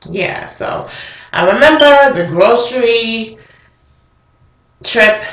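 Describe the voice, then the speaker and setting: A woman speaking at a very slow pace, with audible room echo. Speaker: vlogger. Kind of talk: casual chat. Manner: casual, hesitant with fillers.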